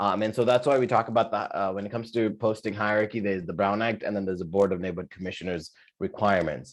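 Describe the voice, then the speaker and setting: Over a quiet background, a man speaks very fast with hardly any pauses, his fairly low pitch held in fairly even intonation. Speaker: neighborhood council adviser giving a training. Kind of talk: training presentation at a public meeting. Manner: halting, many fillers.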